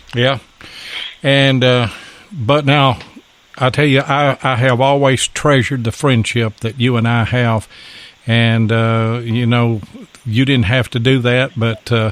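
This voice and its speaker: A man's medium-pitched voice at a fairly slow pace, monotone and flat, with very even loudness, long, frequent pauses, and noticeable background noise. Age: old. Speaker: podcast host. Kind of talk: casual chat.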